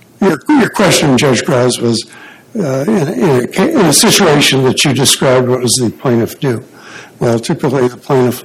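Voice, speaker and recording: Over noticeable background noise, a quiet man speaks at a moderate pace with a medium pitch. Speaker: attorney arguing appeal. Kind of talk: courtroom oral argument. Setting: courtroom at podium. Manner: too quiet; hesitant, many fillers. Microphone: too far from mic.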